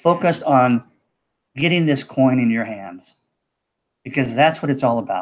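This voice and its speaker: Medium-pitched man in an American accent with ordinary pitch variation. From USA. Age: 60s. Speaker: cryptocurrency promoter. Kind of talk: live broadcast pitch. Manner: casual, repetitive 'okay' fillers.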